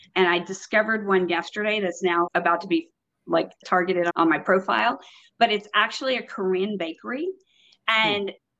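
This woman has an unremarkable speaking voice, medium in pitch, with an American accent. She talks at a fairly quick pace with ordinary pitch variation. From Texas. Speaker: property management consultant. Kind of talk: casual interview. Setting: remote call while on vacation.

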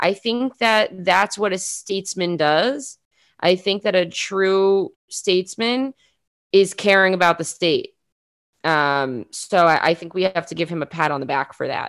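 A woman with a New York accent speaks at a fairly slow pace, her medium pitch showing ordinary variation. The recording is very clean, with a silent background. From New York City (Queens). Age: 20s. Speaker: journalist and podcaster. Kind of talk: interview.

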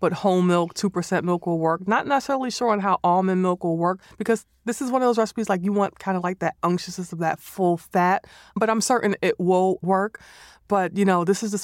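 In a normal speaking voice, a woman with an American accent talks at a fairly quick pace and medium pitch with fairly even intonation, the sound dry and close with no echo on a very clean recording with a silent background. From New York City (the Bronx). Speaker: chef. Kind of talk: casual chat. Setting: studio.

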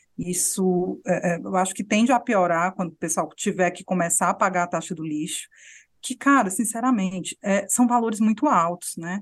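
A woman with a plain, everyday voice speaks at a medium pitch and moderate pace with ordinary pitch variation over a quiet background. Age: young. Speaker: journalist podcast host. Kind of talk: casual political chat.

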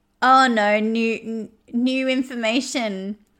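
A woman speaks in a high voice with an Australian accent on a very clean recording with a silent background. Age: 30s. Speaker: podcast host. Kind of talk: monologue rant. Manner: animated.

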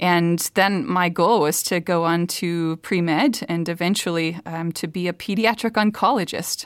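In a Minnesota accent, a woman speaks at a moderate pace with hardly any pauses, on a very clean recording with a silent background. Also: fairly low pitch for a woman, ordinary pitch variation. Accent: Minnesotan Midwest. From Minnesota, US Midwest. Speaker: theologian and professor. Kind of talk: casual interview.

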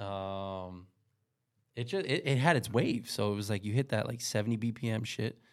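A man with a New York accent speaks at a fairly slow pace, his pitch medium with ordinary variation. The recording is very clean, with a silent background. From New York City, Queens. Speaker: DJ. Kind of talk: casual chat. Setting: studio.

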